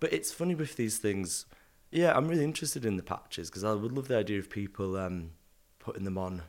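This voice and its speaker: Speaking with a northern English accent, a man uses a fairly low pitch, lively intonation and a fairly quick pace. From northern England. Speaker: artist and designer. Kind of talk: casual interview chat. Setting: at home in London.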